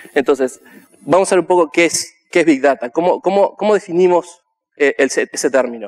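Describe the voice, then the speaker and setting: The loudness stays very even, with ordinary pitch variation. The sound is dry and close, with no echo. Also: man, high pitch for a man, moderate pace. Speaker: conference speaker; software developer. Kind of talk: conference talk.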